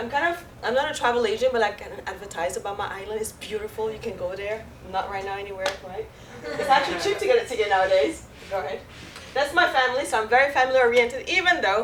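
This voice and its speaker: A very fast, fairly high-pitched woman with a French Caribbean accent and lively intonation, heard with audible room echo and noticeable background noise. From Guadeloupe, French Caribbean. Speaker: mortgage loan officer. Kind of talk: presentation with audience Q&A.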